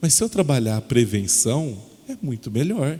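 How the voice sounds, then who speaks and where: This man's voice is fairly high, somewhat breathy, and dark and mellow in tone. He speaks at a moderate pace with very wide pitch swings. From interior of São Paulo state, Brazil. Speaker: educational consultant. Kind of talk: lecture. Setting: presentation to parents and children at a school.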